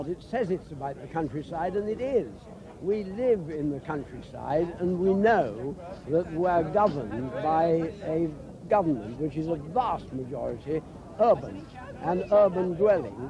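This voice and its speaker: Over noticeable background noise, a man with a fairly high pitch speaks at a fairly slow pace with lively intonation. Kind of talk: posh upper-class.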